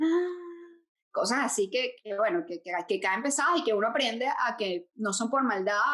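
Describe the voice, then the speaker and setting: A woman speaks in a Venezuelan accent at a moderate pace. Her fairly high voice has lively intonation. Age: 40s. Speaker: podcast co-host. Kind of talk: casual chat.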